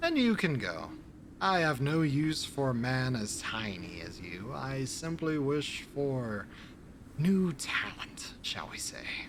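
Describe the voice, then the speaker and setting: Someone uses a put-on character voice with clear background noise behind it. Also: man, medium pitch for a man, fairly slow pace. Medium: actual play. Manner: genteel, sneering, old-fashioned formal phrasing.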